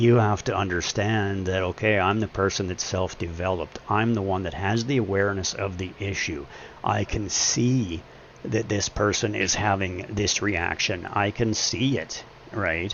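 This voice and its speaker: A man speaks at a moderate pace in an intense, angry tone, fairly low in pitch with ordinary pitch variation, over noticeable background noise. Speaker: gaming live streamer. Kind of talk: casual chat. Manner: intense, comes across as angry.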